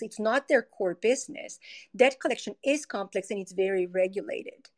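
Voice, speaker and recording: A woman with a Spanish accent speaks at a moderate pace and a fairly high pitch with ordinary pitch variation, in a dry, close sound with no echo on a very clean recording with a silent background. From Colombia. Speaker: tech company product executive. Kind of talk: interview.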